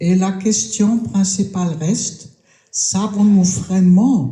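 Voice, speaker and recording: A woman with a medium pitch speaks at a very slow pace amid audible room echo. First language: German (speaking French). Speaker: round-table panelist. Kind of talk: round-table talk. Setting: stage with audience at a festival. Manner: hesitant.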